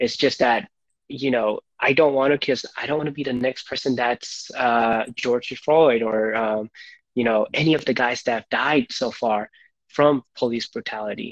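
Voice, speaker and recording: This is a normal speaking voice at a moderate pace with fairly even intonation, recorded with a dry, close sound and no echo. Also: man, medium pitch for a man. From India (Gujarat), moved to US at nine. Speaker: podcast guest. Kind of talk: casual chat.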